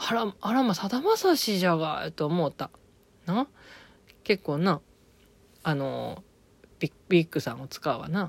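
A woman with fairly low pitch and vocal fry uses lively intonation at a fairly slow pace with long, frequent pauses. The sound is dry and close, with no echo. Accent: strong Okayama. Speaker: podcaster reviewing TV drama. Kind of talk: casual monologue. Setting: recording at home. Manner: halting.

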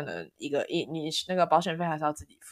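This is a woman with a fairly low pitch and an ordinary speaking voice, talking at a fairly quick pace. The recording is very clean, with a silent background. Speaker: podcast co-host, PhD student. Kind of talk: casual chat.

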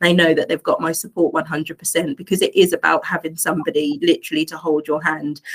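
In an East Anglian accent, the speaker goes at a fairly quick pace with hardly any pauses. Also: woman. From England, Suffolk. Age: 40s. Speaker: life coach and domestic abuse advocate. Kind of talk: interview testimony.

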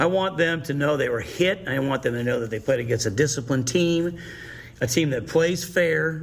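His voice is somewhat breathy. The man keeps a moderate pace and ordinary pitch variation. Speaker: high school football coach. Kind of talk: coach interview.

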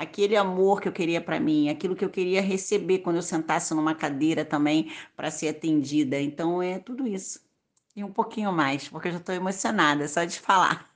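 A woman talks at a fairly quick pace and a fairly low pitch with ordinary pitch variation, in an ordinary speaking voice. The background is quiet. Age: 30s. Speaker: beauty salon owner and microentrepreneur. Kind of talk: podcast interview.

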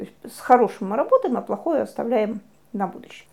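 At a fairly quick pace, a woman talks in an ordinary speaking voice at a fairly high pitch with lively intonation. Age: 40s. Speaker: psychologist. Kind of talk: lecture.

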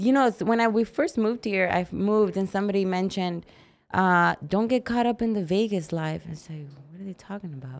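A woman with an American accent speaks in an ordinary speaking voice at a medium pitch and fairly quick pace, with big swings in loudness. The recording is very clean, with a silent background. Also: ordinary pitch variation. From Arizona. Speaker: fitness competitor. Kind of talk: casual interview chat.

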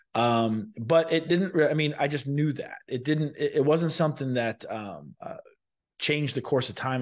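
A man speaks in a normal speaking voice with an American accent. He keeps a moderate pace with ordinary pitch variation. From Sarasota, Florida. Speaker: lawyer and military veteran. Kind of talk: interview.

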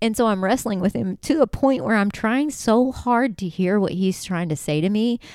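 Speaking with a plain, everyday voice, a woman keeps a moderate pace at medium pitch with hardly any pauses. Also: lively intonation. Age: 40s. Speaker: faith podcast host. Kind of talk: casual faith talk. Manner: casual, filler-heavy.

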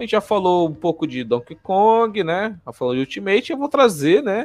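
The delivery moves at a moderate pace with very wide pitch swings. The sound is dry and close, with no echo. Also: man. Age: 20s. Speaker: podcast host about anime. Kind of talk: casual chat. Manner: animated.

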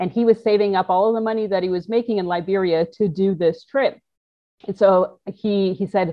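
Here a woman talks at a fairly quick pace in a normal speaking voice. Her pitch is medium, and she speaks with a Canadian accent. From Canada, Toronto. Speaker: motorcycle adventurer and entrepreneur. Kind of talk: interview storytelling. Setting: video call.

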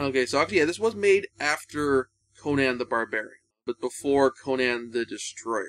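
In a dry, close sound with no echo, a man with an ordinary speaking voice, fairly high in pitch, talks at a moderate pace with lively intonation. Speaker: podcast host. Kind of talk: casual film discussion podcast.

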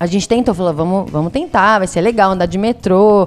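The speech comes at a fairly quick pace with ordinary pitch variation and a slight São Paulo interior accent. Noticeable background noise is present. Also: woman. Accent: Piracicaba caipira accent, slight. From Brazil, Piracicaba (São Paulo interior). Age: 20s. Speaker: travel podcast guest. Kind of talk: casual chat.

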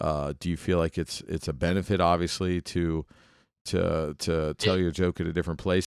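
A man with a very deep, low pitch talks at a moderate pace in a monotone, flat intonation. The sound is dry and close with no echo, on a very clean recording with a silent background. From Cincinnati, Ohio. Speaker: podcast host and comedian. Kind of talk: casual interview chat.

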